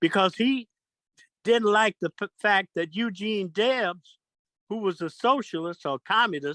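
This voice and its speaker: Speaking at a fairly slow pace with an American accent, a man with a high pitch shows ordinary pitch variation. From United States. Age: 80s+. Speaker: political commentator. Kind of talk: casual chat. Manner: halting.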